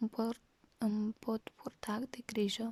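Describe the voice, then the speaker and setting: A woman's fairly high, somewhat breathy voice with a dark, mellow tone at a very slow pace. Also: dry, close sound with no echo. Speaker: ASMR creator. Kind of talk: story reading in a quiet voice. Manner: soft, slow, whispery.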